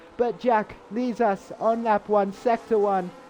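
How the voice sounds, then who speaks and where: A man is speaking. Music plays in the background. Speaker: sim racing commentator. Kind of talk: live commentary. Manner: halting, self-corrections and fillers; animated.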